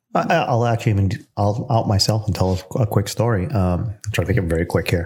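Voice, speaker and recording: Somewhat breathy and fairly low in pitch, a man speaks at a fairly quick pace with very even loudness. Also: ordinary pitch variation. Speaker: podcast co-host, photographer. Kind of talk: casual podcast discussion.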